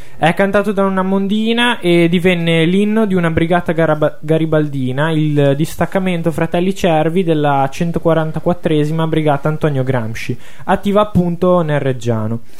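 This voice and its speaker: Against noticeable background noise, a man with a high pitch speaks at a moderate pace, his pitch varying in an ordinary way and his loudness very even. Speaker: radio host, music presenter. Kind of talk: radio talk show, conversational. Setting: radio studio.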